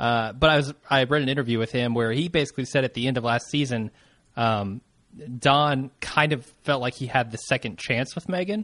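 With an ordinary speaking voice, a man talks at medium pitch and a moderate pace, with ordinary pitch variation and a quiet background. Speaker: podcast host. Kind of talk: casual recap chat. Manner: chatty, laughs often.

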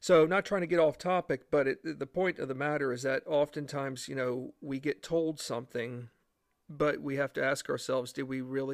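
Fairly high male voice at a moderate pace with fairly even intonation, dry and close with no echo in a very clean recording against a silent background. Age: 40s. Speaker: history podcast host. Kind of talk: solo history podcast. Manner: halting, many fillers.

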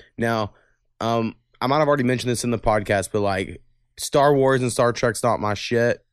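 A man with an American accent has an unremarkable speaking voice, medium in pitch and fairly even in intonation. He talks at a fairly quick pace on a very clean recording with a silent background. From Oklahoma. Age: 30s. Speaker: podcast host. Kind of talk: casual chat.

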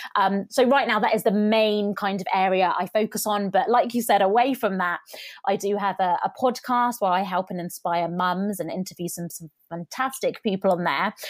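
A woman's normal speaking voice at medium pitch, with ordinary pitch variation and a moderate pace, on a very clean recording with a silent background. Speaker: YouTube coach and entrepreneur. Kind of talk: casual interview chat.

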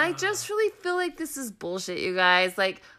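At a moderate pace, a woman uses a raised, projected voice with very wide pitch swings. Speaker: podcast co-host. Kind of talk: casual chat.

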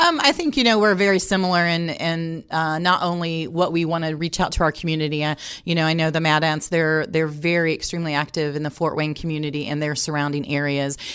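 A woman with a Midwestern American accent at a fairly low pitch, very fast with hardly any pauses, in a very clean recording with a silent background. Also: fairly even intonation. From Indianapolis, Indiana, US Midwest. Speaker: sports team community relations director. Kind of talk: interview.

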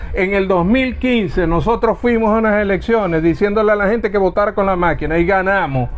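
Speaking at a fairly quick pace with hardly any pauses, a man with a high pitch keeps his loudness very even and his pitch variation ordinary. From Venezuela, Zulia (Lagunillas). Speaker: politician. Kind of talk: heated debate.

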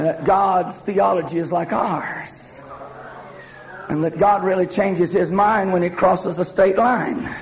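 With a solemn tone, a man speaks at a high pitch and a fairly slow pace over noticeable background noise. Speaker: preacher. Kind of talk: sermon. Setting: church with live congregation. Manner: fervent, call-and-response preaching that urges the congregation to say amen; solemn and urgent, with pleading altar-call tone.

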